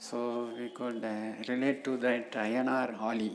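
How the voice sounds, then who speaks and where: Audible room echo fills a very slow delivery. The speaker has an Indian accent. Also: woman. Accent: Indian English (Tamil). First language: Tamil. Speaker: professor. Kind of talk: lecture. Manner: halting, many fillers.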